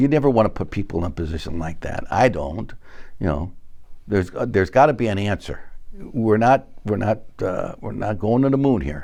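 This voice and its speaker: A man speaks at a fairly low pitch with very wide pitch swings. His tone is dark and mellow, with vocal fry. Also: moderate pace. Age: 70s. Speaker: fire sprinkler company executive. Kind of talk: interview. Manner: halting.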